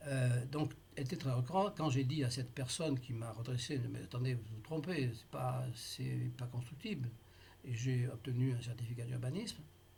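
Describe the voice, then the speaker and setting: At a moderate pace, a man speaks with medium pitch and ordinary pitch variation. His voice is somewhat breathy. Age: 80s+. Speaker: taxpayer in a dispute. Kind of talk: tense phone appeal with tax official. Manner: halting, many hesitations.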